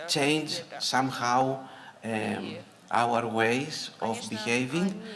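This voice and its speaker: A man with a medium pitch speaks with lively intonation. Noticeable background noise and audible room echo come through. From Greece. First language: Greek. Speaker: conference speaker, early childhood educator. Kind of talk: conference talk. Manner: halting, many fillers.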